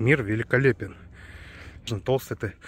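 At a moderate pace, a somewhat breathy man speaks in a dry sound with no echo. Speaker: cyclist vlogger. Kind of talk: casual vlog chat. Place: forest. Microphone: phone near.

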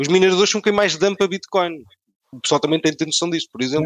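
Speaking at a very fast pace, a man has a high pitch and a European Portuguese accent. His pitch variation is ordinary, and the sound is dry and close with no echo. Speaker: podcast co-host. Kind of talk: casual chat.

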